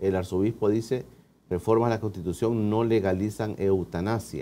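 A man talks at a moderate pace in a plain, everyday voice with a fairly low pitch. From El Salvador. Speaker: TV interview host. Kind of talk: TV interview. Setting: studio. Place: studio. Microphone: lapel.

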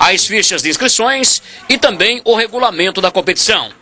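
Noticeable background noise runs under the voice. Its pace is moderate and its pitch variation ordinary. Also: man. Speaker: sports TV reporter. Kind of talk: TV sports report and interview.

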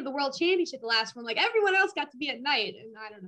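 Her voice raised and projected, a woman with an American accent speaks very fast in a bright, sharp tone with very wide pitch swings. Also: quiet background. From Minnesota. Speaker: powerlifter; guest. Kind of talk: casual interview. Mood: cheerful, smiling. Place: home room. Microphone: video call.

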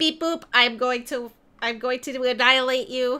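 Using a put-on character voice, a woman sounds robotic, pitched high and moving at a fairly slow pace. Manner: menacing.

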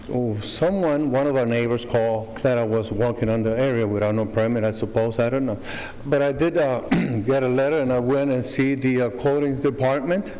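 His pace is fairly quick. The man's pitch varies in an ordinary way. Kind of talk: public hearing testimony. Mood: earnest, slightly nervous. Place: hall. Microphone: podium.

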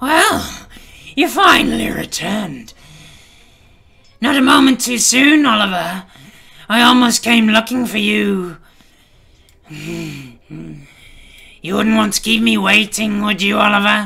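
In a raised, projected voice, a man with a high pitch speaks in a menacing tone. His intonation is lively, and he leaves long, frequent pauses. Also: fairly slow pace. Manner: menacing, mocking; impatient, commanding.

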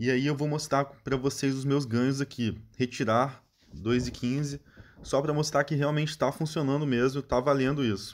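The recording is very clean, with a silent background. A man with a normal speaking voice and fairly high pitch talks at a moderate pace. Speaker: channel host promoting app bonuses. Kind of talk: sales pitch. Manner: casual, friendly, direct address to viewers.

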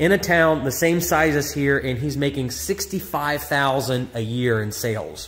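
This is a man speaking. His pitch variation is ordinary. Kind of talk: casual vlog walkthrough. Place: shop. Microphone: phone near.

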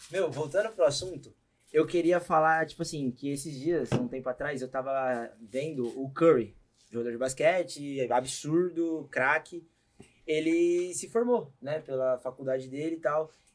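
A fairly high-pitched man with a Brazilian accent, fairly slow pace and ordinary pitch variation. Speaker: podcast host; podcast host or guest. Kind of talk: casual chat. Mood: relaxed, casual. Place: studio. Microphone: studio mic.

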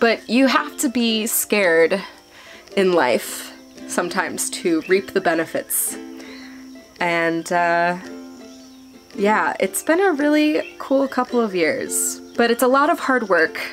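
Faint music plays behind a woman who speaks at a very slow pace with long, frequent pauses. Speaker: travel vlogger. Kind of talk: casual vlog chat. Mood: warm, slightly nervous, laughing. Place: home room. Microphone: phone near.

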